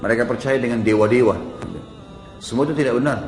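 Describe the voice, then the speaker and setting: With music in the background, a man talks at a medium pitch and a very fast pace. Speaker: Islamic preacher. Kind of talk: religious sermon.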